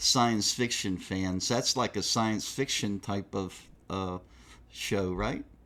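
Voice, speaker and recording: A man with a Southern US accent, on a very clean recording with a silent background. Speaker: metal magazine interviewer. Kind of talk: casual interview.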